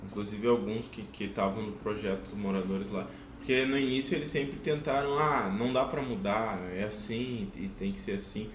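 Over noticeable background noise and audible room echo, a man with a fairly low pitch and ordinary pitch variation speaks at a moderate pace with hardly any pauses. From southern Brazil, Porto Alegre. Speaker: exchange volunteer and videographer. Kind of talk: casual chat.

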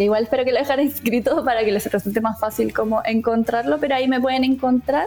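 A woman with a Chilean accent speaks at a very fast pace with hardly any pauses, using a fairly high pitch, ordinary pitch variation and very even loudness over noticeable background noise. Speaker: nutritionist. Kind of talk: interview.

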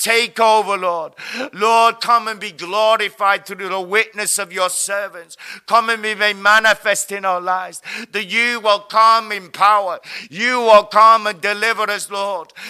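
A man talks at a high pitch in a raised, projected voice with a bright, sharp tone. His intonation stays monotone and flat, and his pace is fairly slow. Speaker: prayer leader. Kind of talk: group prayer session; fervent intercessory prayer with spiritual warfare declarations. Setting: online video broadcast. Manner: fervent, declarative, commanding.

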